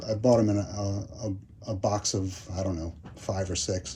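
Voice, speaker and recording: The voice is dark, mellow and somewhat breathy, moving at a fairly slow pace. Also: man. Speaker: bonsai hobbyist YouTuber. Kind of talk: casual tutorial. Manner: hesitant, many fillers.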